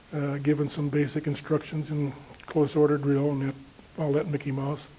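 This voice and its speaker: Over noticeable background noise, a man with an American accent speaks at a moderate pace in a monotone, flat intonation and a fairly high pitch. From Chicago, US Midwest. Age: 70s. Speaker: war veteran. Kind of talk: oral history interview. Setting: veterans reunion interview. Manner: halting, many fillers.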